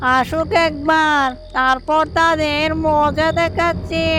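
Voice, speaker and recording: A female-sounding cartoonish character voice, high-pitched, at a fairly slow pace, over clear background noise. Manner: threatening, sly.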